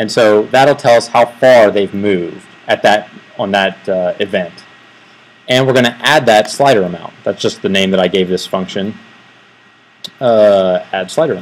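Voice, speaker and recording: A man at a fairly low pitch with ordinary pitch variation speaks over noticeable background noise, taking long, frequent pauses. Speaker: software developer giving a tech talk. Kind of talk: technical presentation. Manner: fast; hesitant, many fillers.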